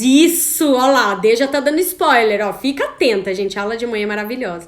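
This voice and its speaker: A loud, high-pitched woman's voice with an animated tone, lively intonation, a moderate pace and audible room echo. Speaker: women's coaching course host. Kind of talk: live online class.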